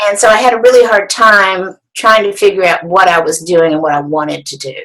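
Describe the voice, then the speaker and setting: Bright, sharp tone from a woman, with ordinary pitch variation. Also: medium pitch for a woman, fairly quick pace. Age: 60s. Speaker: artist and quilting teacher. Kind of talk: interview.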